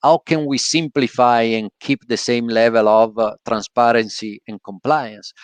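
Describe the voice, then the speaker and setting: Against a quiet background, a man with an Italian accent is heard in a dry, close sound with no echo. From Italy. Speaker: podcast host. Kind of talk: casual chat. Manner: halting, many fillers.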